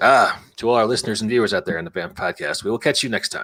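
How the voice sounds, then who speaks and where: A man's raspy, put-on character voice, medium in pitch and very fast. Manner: polished, broadcast-style.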